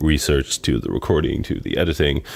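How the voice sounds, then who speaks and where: A man talks at a moderate pace with a very deep, low voice. There is vocal fry in his speech. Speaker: podcast co-host. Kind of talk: casual chat. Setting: studio with microphones, on a couch.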